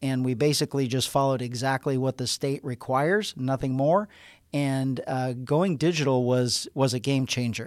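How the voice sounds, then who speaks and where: The recording is very clean, with a silent background. It carries an unremarkable speaking voice with ordinary pitch variation. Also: man, medium pitch for a man, moderate pace. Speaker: sheriff hosting department podcast. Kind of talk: interview-style podcast conversation.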